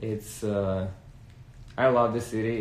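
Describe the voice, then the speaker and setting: There is audible room echo. A man speaks in a fairly low, somewhat breathy voice. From Russia, Engels near Saratov. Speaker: music video director. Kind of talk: casual chat.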